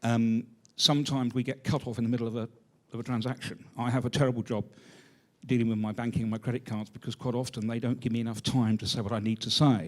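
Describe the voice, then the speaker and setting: Speaking at a very fast pace in a British accent, a man holds a medium pitch with monotone, flat intonation. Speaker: retired university careers advisor. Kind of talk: audience question.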